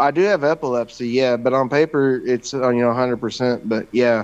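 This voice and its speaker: In an American accent, a man with a plain, everyday voice talks at a fairly slow pace in a medium pitch with fairly even intonation. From Kentucky and southern Illinois. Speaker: war veteran. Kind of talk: casual chat.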